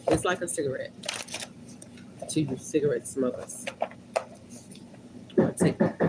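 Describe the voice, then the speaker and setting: Over noticeable background noise, a woman speaks at a moderate pace in an animated tone. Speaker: livestreamer. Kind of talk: casual livestream chat.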